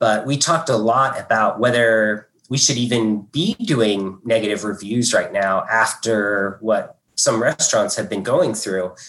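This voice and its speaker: At a fairly slow pace with hardly any pauses, a man speaks in an unremarkable speaking voice of medium pitch with ordinary pitch variation. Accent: American. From southern Indiana, US. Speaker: food critic. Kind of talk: panel talk. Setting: video call.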